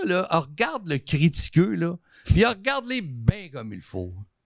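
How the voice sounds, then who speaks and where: Very slowly, a man with a high-pitched voice speaks in very wide pitch swings. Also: dry, close sound with no echo. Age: 60s. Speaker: artist and TV station manager. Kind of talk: casual chat.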